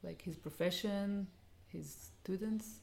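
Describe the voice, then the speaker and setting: A woman talks in an Israeli accent. Her tone is dark and mellow. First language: Hebrew. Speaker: education design co-host. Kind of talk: interview. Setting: in person, Jerusalem house.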